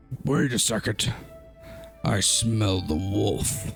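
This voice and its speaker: A raspy, put-on character voice speaks at a very slow pace over clear music in the background. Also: man, fairly low pitch for a man. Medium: actual play.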